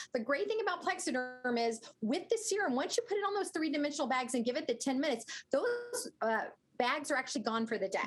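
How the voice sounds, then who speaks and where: The delivery is very fast and the loudness stays very even. Pitch swings very widely, and music plays in the background. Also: woman, high pitch for a woman. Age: 60s. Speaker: skincare product spokesperson. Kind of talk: sales pitch.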